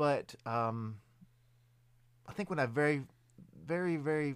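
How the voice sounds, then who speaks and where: Speaking in a Southern US accent, a man with medium pitch makes very wide pitch swings. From Middle Tennessee, US South. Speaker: haunted attraction performer. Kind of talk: casual chat. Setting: studio. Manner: halting.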